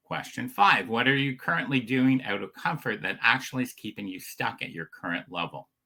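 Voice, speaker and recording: A man at medium pitch talks at a fairly quick pace with lively intonation, big swings in loudness and hardly any pauses. His tone is bright and sharp, with vocal fry. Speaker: business coach. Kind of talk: motivational livestream talk. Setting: livestream.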